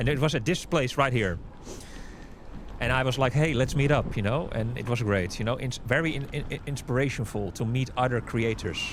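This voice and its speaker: A man's medium-pitched voice, fairly quick, with ordinary pitch variation and noticeable background noise. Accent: Dutch. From Amsterdam, Netherlands. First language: Dutch. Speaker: YouTuber and local city guide. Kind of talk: casual narration over cycling footage. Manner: casual, conversational.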